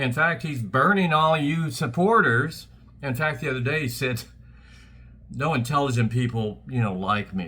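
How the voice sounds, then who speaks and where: With an American accent, a man speaks at a moderate pace in a medium pitch, his tone bright and sharp and his intonation lively, with audible room echo around him. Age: 70s. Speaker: political commentator. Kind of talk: political rant. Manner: animated.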